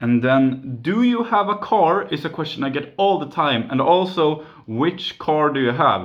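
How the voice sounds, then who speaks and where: Speaking with hardly any pauses, a man with a fairly high pitch makes very wide pitch swings. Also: fairly slow pace. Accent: Swedish. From Sweden, near Gothenburg. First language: Swedish. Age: 20s. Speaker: YouTuber, mobile game channel. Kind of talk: Q and A video, casual.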